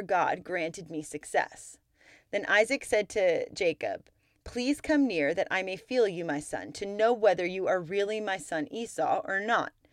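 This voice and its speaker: An ordinary speaking voice moves at a moderate pace with lively intonation. The recording is very clean with a silent background, and the sound is dry and close with no echo. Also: woman. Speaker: podcast host and Bible teacher. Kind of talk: scripture reading, steady and measured, in between teaching talk; devotional Bible teaching. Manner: formal, even-paced reading aloud, clear and reverent; earnest and warm.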